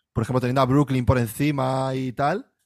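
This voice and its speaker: This man has an unremarkable speaking voice with a fairly high pitch. He talks at a moderate pace. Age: 30s. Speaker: podcast co-host. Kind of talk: casual chat.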